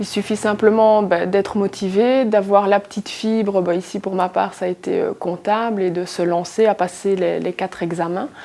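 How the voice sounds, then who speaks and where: An ordinary speaking voice at a moderate pace, with fairly even intonation and hardly any pauses. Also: woman, medium pitch for a woman. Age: 20s. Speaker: accounting assistant, former factory worker. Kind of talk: interview answer.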